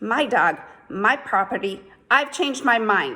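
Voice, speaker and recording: A woman shouts in a put-on character voice at a high pitch. Her pace is moderate and her intonation lively. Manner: angry, shouting.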